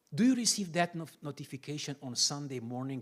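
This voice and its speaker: This is a man speaking with a Romanian accent. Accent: Romanian accent, lasting. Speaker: pastor. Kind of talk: sermon-style teaching talk.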